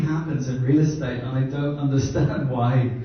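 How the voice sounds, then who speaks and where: A man with a fairly high pitch speaks at a moderate pace and fairly even intonation, with audible room echo and noticeable background noise. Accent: Irish. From Ireland. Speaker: brand consultant. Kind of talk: workshop presentation.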